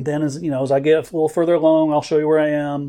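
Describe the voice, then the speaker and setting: A man talks at a very fast pace with a fairly high pitch. His tone is dark and mellow, and the background is quiet. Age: 50s. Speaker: illustrator. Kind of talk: casual chat.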